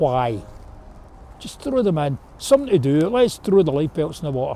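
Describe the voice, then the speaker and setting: In a Glasgow accent, a man with a fairly high pitch and a dark, mellow tone speaks at a moderate pace, his pitch swinging very widely and his loudness in big swings. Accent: Glasgow Scottish. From Scotland, Glasgow. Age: 70s. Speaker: river rescuer. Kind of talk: interview. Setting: outdoors.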